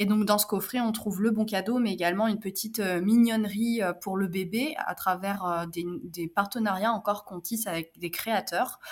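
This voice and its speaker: Amid noticeable background noise, a woman talks at a moderate pace and medium pitch with fairly even intonation. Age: 30s. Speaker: entrepreneur. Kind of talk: interview.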